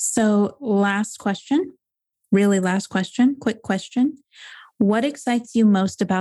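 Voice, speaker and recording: Very slowly, a woman speaks in a somewhat breathy voice against a quiet background. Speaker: podcast host. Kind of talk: interview. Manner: enthusiastic.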